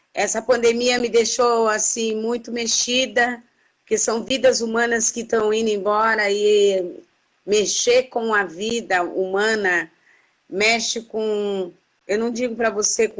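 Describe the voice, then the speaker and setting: A woman speaks at a fairly slow pace. Her fairly high voice keeps a fairly even intonation. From Brazil. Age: 60s. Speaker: activist. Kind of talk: interview. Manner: halting.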